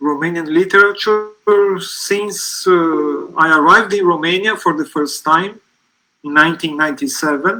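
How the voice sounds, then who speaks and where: A high-pitched male voice with a Portuguese accent and ordinary pitch variation. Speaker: literary translator. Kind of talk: live panel talk.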